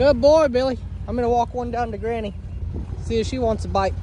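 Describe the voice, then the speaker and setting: Amid noticeable background noise, a man talks at a fairly quick pace in a dry sound with no echo. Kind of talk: casual talk to animals. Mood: affectionate, coaxing. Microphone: phone near.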